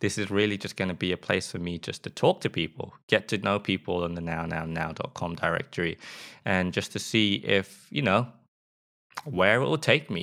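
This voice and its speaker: In a very clean recording with a silent background, a man with a slight British accent speaks at a very deep, low pitch, his tone bright and sharp and his pitch variation ordinary. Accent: mild British. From England. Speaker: podcast host and UX designer. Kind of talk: solo podcast intro, monologue. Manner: slow, careful, stumbling.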